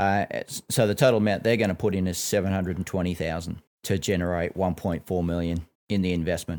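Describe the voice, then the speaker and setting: A man's very deep, low voice with an Australian accent, very fast and fairly even in intonation, on a very clean recording with a silent background. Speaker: financial advisor podcast host. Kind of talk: casual educational chat.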